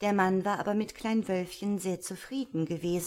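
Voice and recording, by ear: Someone reads aloud here in a natural voice.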